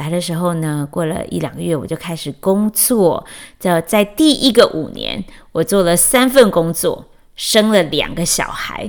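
A woman speaks with very wide pitch swings. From Taiwan, Chiayi. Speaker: podcast host, educator and mother. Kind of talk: personal monologue. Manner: hesitant, many fillers.

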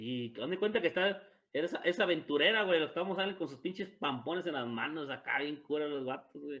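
A man talks fairly quickly in a fairly high pitch, his intonation lively. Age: 30s. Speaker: podcast co-host. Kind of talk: casual chat. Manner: animated.

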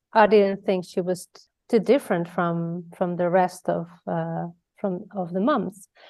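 A woman speaks at a fairly slow pace. She has a Spanish accent. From Spain, Mallorca. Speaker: abuse prevention educator. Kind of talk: interview. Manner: halting.

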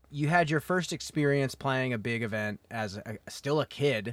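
An ordinary speaking voice with an American accent and lively intonation, on a very clean recording with a silent background. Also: man. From US Midwest. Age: 30s. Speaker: podcast host and disc golfer. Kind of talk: casual interview chat. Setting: in person, on mics at tournament.

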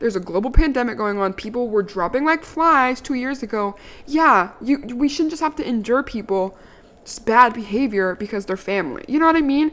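Her high-pitched voice carries an animated tone. The woman speaks at a fairly quick pace with lively intonation. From Maryland. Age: 20s. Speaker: podcast host. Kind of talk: casual monologue.

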